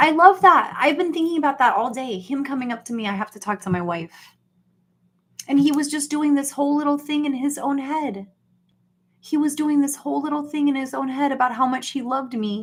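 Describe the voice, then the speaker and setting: A woman with an American accent speaks at a fairly quick pace in an animated tone, her high voice showing ordinary pitch variation. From US Deep South. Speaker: YouTube livestreamer. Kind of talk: casual livestream chat.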